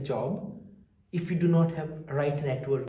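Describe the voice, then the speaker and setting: There is noticeable background noise and audible room echo. A man speaks at a fairly high pitch and moderate pace with ordinary pitch variation. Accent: South Indian. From South India. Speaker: researcher and small business founder. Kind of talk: interview testimony. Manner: halting with fillers.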